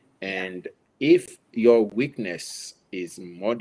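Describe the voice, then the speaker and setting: A man speaks at a medium pitch with a dark, mellow tone and lively intonation. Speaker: interview guest. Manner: speaks slowly and deliberately here.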